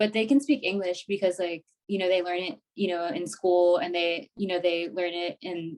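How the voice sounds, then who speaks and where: Moderate pace, American accent, and ordinary pitch variation. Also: woman. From Sacramento, California. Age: 30s. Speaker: occupational therapy graduate student. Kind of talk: casual interview chat.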